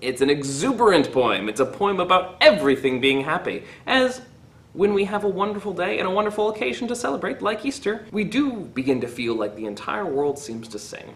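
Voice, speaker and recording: A man at a fairly quick pace, with very wide swings in pitch. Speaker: teacher. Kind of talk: poetry reading then commentary. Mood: warm, cheerful. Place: classroom. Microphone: phone near.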